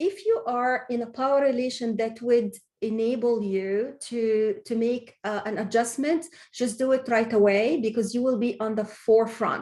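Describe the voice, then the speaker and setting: Her voice has a dark, mellow tone. This woman speaks at a moderate pace. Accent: non-native. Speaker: webinar speaker. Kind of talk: Q&A answers in webinar. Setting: online webinar. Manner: halting, many false starts.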